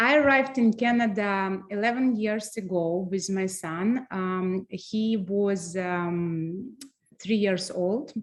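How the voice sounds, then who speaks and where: In a Russian accent, a woman talks at a very slow pace with a medium pitch. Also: ordinary pitch variation. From Transnistria. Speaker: floral designer and business owner. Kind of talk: webinar presentation. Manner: halting, many fillers.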